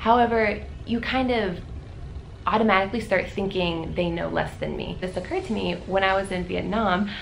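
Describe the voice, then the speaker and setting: A woman with an American accent talks at a fairly quick pace. Noticeable background noise and audible room echo are present. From Florida, US. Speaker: volunteer teacher and vlogger. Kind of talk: casual vlog update. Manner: loud; fast.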